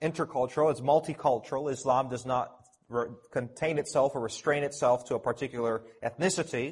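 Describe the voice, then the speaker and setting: A man with a Canadian accent, medium-pitched and somewhat breathy, at a fairly quick pace with fairly even intonation. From Canada, Toronto. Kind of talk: conference talk. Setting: conference audience.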